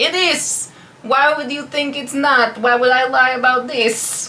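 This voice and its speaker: A female-sounding, high-pitched, put-on character voice speaks at a fairly slow pace. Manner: defensive, insistent.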